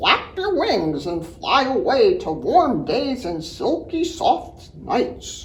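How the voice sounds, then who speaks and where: Speaking in a put-on character voice, a female-sounding speaker talks very slowly and in a high pitch. There are hardly any pauses, with light background noise. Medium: read story. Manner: honking.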